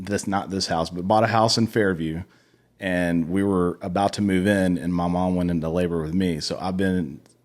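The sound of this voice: A man speaks at low pitch and a moderate pace with fairly even intonation. The recording is very clean, with a silent background.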